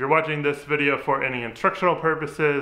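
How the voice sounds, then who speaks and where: Bright and sharp, the man's tone cuts through as he talks. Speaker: DIY restoration vlogger. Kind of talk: casual vlog chat. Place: garage.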